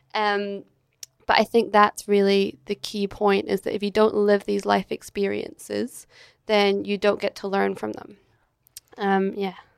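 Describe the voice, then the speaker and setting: A woman speaks in a Scottish accent, with a dry, close sound and no echo. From Scotland, Edinburgh. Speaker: entrepreneur, agency director. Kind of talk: interview conversation. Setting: hotel.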